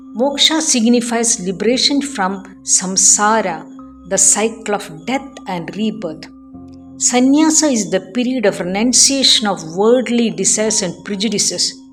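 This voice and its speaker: Music plays in the background as a woman talks at a fairly slow pace. Her pitch is fairly high and her intonation lively. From Cochin, Kerala, India. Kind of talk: spiritual storytelling narration.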